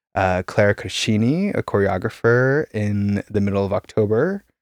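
Fairly low in pitch, a man with an American accent and a plain, everyday voice speaks at a moderate pace on a very clean recording, dry and close with no echo and a silent background. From US, Idaho. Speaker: composer and sound artist. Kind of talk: casual interview.

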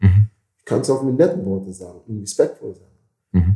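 A man's voice has a dark, mellow tone and sounds somewhat breathy. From Caribbean. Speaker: bouncer and security business owner. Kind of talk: interview conversation. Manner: halting.

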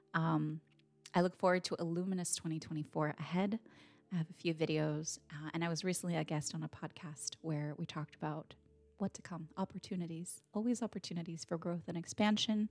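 An ordinary speaking voice with fairly even intonation comes through dry and close, with no echo. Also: woman, fairly low pitch for a woman. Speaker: meditation guide and coach. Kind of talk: guided meditation, gentle and unhurried, with soft drumming. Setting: home recording with a drum. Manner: soft-spoken; slow, soothing, calm.

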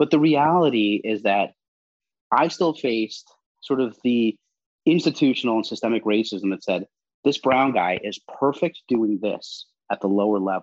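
A man speaks in a plain, everyday voice at medium pitch and moderate pace, with lively intonation and a dry, close sound with no echo. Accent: American. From US, New York. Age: 40s. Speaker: national security commentator and former double agent. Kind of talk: interview.

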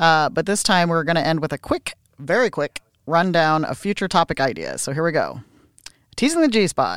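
A woman's normal speaking voice, fairly low in pitch with ordinary variation, at a moderate pace, in a dry, close sound with no echo and a very clean recording with a silent background. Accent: American. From United States. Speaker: podcast co-host and massage therapist. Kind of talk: casual chat.

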